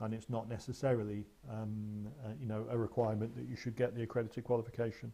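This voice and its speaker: A man with an English accent, medium-pitched, somewhat breathy and dark, mellow in tone, very fast in pace with monotone, flat intonation. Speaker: mediation trainer. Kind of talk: webinar presentation with Q and A. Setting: online webinar. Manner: hesitant with fillers.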